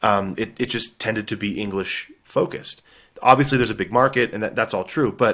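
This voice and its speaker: Talking fairly quickly, a man with a Texan accent keeps a medium pitch and ordinary pitch variation. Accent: Texan American English. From Texas. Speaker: author. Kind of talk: interview.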